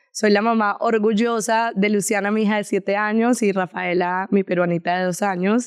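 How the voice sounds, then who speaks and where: Speaking with a Colombian accent, a woman holds a medium pitch in a monotone, flat intonation, her loudness very even and hardly any pauses between words. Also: moderate pace. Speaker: podcast co-host. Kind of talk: casual chat.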